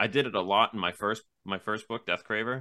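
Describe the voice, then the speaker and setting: A man with an American accent talks at a fairly quick pace in a normal speaking voice, with fairly even intonation. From Massachusetts south coast. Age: 20s. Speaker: novelist. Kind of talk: interview.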